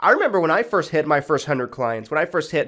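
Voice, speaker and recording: A man's fairly high voice moves in very wide pitch swings against a quiet background. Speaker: insurance agent and sales trainer; insurance agent trainer. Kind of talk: tutorial. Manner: casual, filler-heavy. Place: home room. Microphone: studio mic.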